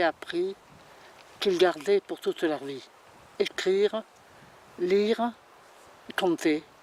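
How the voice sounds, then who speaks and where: A very slow pace broken by long, frequent pauses. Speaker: local elder interviewee. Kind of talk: documentary interview, reminiscence. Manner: halting.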